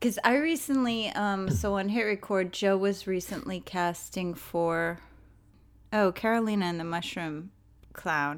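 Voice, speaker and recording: A woman talks in a normal speaking voice at a fairly slow pace, her medium pitch showing ordinary variation, on a very clean recording with a silent background. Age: 40s. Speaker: podcast host. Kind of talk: solo podcast outro; casual interview chat.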